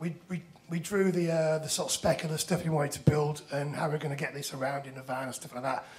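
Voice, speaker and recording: A man talking at a very fast pace with audible room echo. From northern England, Leeds. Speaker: musician and startup founder. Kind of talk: conference presentation. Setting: stage with audience.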